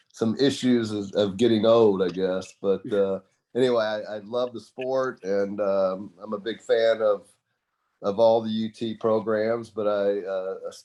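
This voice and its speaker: A man's medium-pitched, dark, mellow voice in a Texan accent, flat and monotone in intonation, at a moderate pace. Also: quiet background. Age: 70s. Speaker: tennis supporter. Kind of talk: casual chat.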